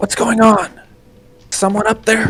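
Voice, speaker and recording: This put-on character voice is raspy and sits at a fairly high pitch. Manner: questioning, wary.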